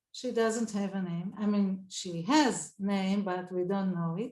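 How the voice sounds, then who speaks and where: A woman speaks with an Israeli accent at a fairly slow pace. Her voice is somewhat breathy. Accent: Israeli Hebrew. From Israel, southern kibbutz. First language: Hebrew. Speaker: Talmud scholar. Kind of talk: panel talk. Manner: halting.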